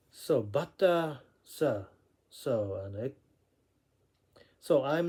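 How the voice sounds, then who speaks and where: The man's tone is dark and mellow, with lively intonation. He talks at a very slow pace. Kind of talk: casual unscripted talk to camera. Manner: hesitant, many fillers.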